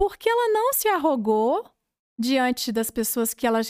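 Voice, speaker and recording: The audio is very clean and the background completely silent. Her voice ranges very widely in pitch as this woman talks. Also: dry, close sound with no echo. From Brazil, Minas Gerais (Cláudio). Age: 30s. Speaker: physiotherapist and franchise entrepreneur. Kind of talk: interview conversation.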